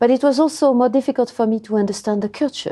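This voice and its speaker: Against a quiet background, a woman speaks in a dark, mellow tone with a French accent. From France. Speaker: language education researcher. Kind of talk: interview. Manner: hesitant, many fillers.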